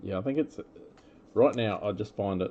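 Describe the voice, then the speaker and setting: A man with an Australian accent speaks in a dark, mellow tone with lively intonation. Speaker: trading card breaker. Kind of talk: live card break commentary. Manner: casual, with many fillers.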